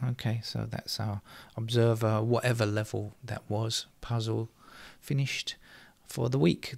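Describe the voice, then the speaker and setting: At a moderate pace, this somewhat breathy voice keeps its intonation fairly even. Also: man. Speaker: sudoku tutorial presenter. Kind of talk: tutorial.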